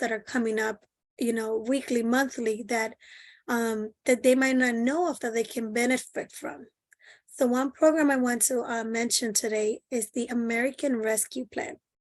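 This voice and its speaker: A woman with a high pitch speaks at a moderate pace in a Spanish accent, her intonation fairly even. The background is quiet. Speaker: bilingual parent liaison. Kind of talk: webinar interview. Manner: halting, frequent self-repeats.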